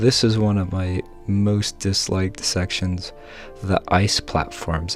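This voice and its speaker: A quiet man's very deep, low voice at a very slow pace, fairly even in intonation, with music in the background. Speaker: gaming video creator. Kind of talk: gameplay tutorial commentary.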